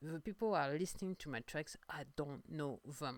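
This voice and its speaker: In a strong French accent, a woman speaks at a moderate pace with a very deep, low pitch and ordinary pitch variation. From France. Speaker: singer-songwriter podcaster. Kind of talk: casual monologue podcast. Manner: halting, many fillers and repetitions.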